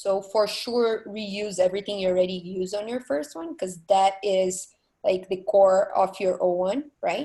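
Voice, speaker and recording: In a non-native accent, a woman speaks with a dark, mellow tone and ordinary pitch variation. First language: not English. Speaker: art director panelist. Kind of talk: panel discussion. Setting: video call.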